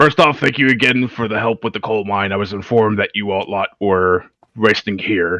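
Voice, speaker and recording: A man puts on a raspy character voice at a fairly low pitch. He speaks at a moderate pace in a dry, close sound with no echo. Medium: actual play. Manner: polite, courteous.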